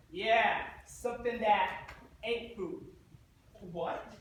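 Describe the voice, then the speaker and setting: A man's gruff, put-on character voice, high in pitch, at a very slow pace, with ordinary pitch variation and slight echo. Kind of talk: comic musical theatre acting. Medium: stage play. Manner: gruff, slangy.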